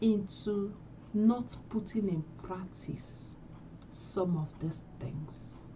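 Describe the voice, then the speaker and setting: A woman talks very slowly at a medium pitch with ordinary pitch variation. The room echo is audible. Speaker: English speaking coach. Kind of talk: live stream teaching. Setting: livestream. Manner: slow, deliberate.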